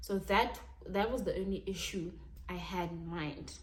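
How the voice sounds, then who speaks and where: A woman's voice carries vocal fry. The room echo is audible. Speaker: YouTuber. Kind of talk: storytime vlog. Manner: animated.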